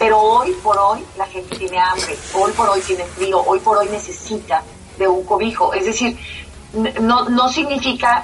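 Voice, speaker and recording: There is noticeable background noise. A woman speaks at a fairly slow pace with a medium pitch. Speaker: sociologist and academic. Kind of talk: interview. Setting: internet call.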